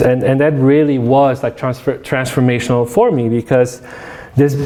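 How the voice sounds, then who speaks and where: The speech moves at a fairly quick pace. Noticeable background noise and audible room echo fill the recording. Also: man. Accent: Polish. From Poland, moved to Detroit area as a teen. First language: Polish. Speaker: academic lecturer. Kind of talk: public lecture. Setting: room with live audience. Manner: many fillers and repetitions.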